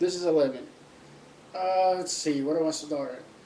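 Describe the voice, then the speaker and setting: A man's fairly high-pitched voice at a fairly slow pace, with audible room echo. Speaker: vlogger. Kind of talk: casual vlog monologue. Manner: speaking up loudly. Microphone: laptop mic, positioned closer to face.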